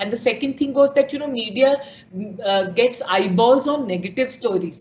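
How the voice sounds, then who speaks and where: The woman's voice sits at a high pitch with ordinary variation. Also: moderate pace. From India, Bihar. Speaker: media startup founder and CEO. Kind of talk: interview.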